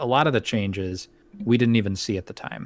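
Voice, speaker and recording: This man has a plain, everyday voice. His pitch is medium with ordinary variation. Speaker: podcast host. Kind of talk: casual podcast discussion.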